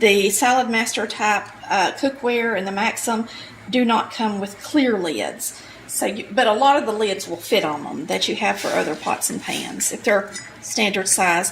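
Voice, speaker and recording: A woman speaks at a moderate pace in a Southern US accent, with medium pitch and ordinary pitch variation. Noticeable background noise runs underneath. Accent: Southern US (Georgia). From Polk County, Georgia, US. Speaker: home cook, cooking channel host. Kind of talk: casual cooking tutorial talk to camera.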